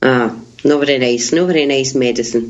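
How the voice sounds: A woman talks at a moderate pace with ordinary pitch variation, her pitch extremely low for a woman. Audible room echo surrounds her voice.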